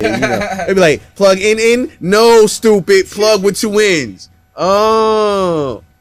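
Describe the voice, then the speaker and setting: A man speaks at a very slow pace, with very even loudness and ordinary pitch variation. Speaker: podcast host, studio engineer. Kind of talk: casual chat. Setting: studio.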